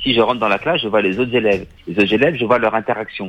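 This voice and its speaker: A man talks at a very fast pace. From Paris, France. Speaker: film director. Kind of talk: interview. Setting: remote line from Paris.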